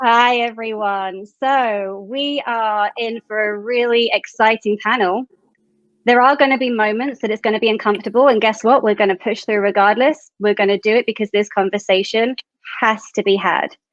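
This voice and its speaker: With a British accent, the speaker keeps a moderate pace and fairly even intonation. The sound is dry and close, without echo. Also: woman, fairly high pitch for a woman, quiet background. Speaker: panel moderator. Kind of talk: panel discussion.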